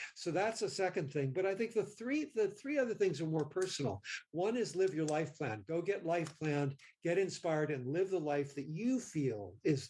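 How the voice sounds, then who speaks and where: This man has a fairly high pitch and a dark, mellow tone. He speaks at a moderate pace with very wide pitch swings. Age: 70s. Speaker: mindfulness practitioner and kindness advocate. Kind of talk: interview. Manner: halting.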